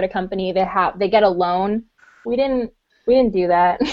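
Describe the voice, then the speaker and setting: A woman speaks in a plain, everyday voice. Her pace is fairly quick and her intonation lively. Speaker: convention organizer and podcast co-host.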